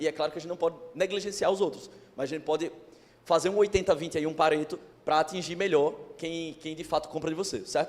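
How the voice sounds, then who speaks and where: With an animated tone, a man speaks very fast at a high pitch. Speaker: digital marketing speaker. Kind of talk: lecture.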